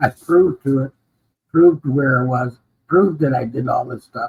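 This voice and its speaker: A man's fairly high voice comes out somewhat breathy. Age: 70s. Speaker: Vietnam veteran and former firefighter. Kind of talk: interview.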